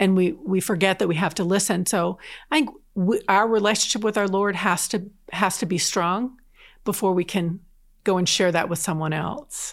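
On a very clean recording with a silent background, a woman speaks in an unremarkable speaking voice at medium pitch and a moderate pace, with ordinary pitch variation and very even loudness. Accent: American. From southern New Jersey. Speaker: diocese evangelization coordinator. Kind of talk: casual interview chat. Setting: in-person studio recording.

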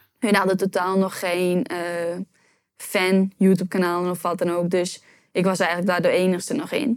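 Her intonation fairly even, a woman talks at a moderate pace in a medium pitch. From Netherlands, Urk. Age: 20s. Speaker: YouTube entrepreneur. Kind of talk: interview.

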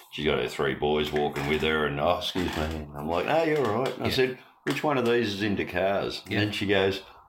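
With an Australian accent, a man speaks at a very deep, low pitch. His moderate pace carries very wide pitch swings. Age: 50s. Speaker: podcast host. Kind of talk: casual chat. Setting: studio.

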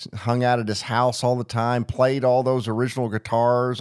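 On a very clean recording with a silent background, a man with an unremarkable speaking voice and a medium pitch talks at a moderate pace with fairly even intonation. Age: 40s. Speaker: radio host. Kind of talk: radio interview.

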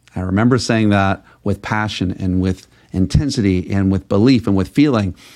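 A man speaks with an American accent in a normal speaking voice. His pitch is fairly low with ordinary variation, and his pace is moderate. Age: 40s. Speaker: podcast host and sales coach. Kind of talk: motivational monologue.

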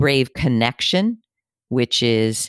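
On a very clean recording with a silent background and a dry, close sound with no echo, a woman speaks with a very deep, low pitch. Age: 60s. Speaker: career and executive coach. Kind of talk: interview conversation.

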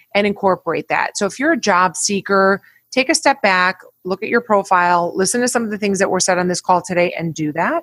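A woman at a medium pitch with lively intonation, in a dry, close sound with no echo. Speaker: recruiter. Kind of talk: casual chat.

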